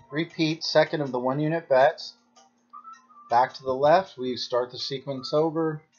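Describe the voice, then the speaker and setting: The speaker talks at a moderate pace while music plays in the background. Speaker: baccarat strategy channel host. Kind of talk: gameplay commentary tutorial.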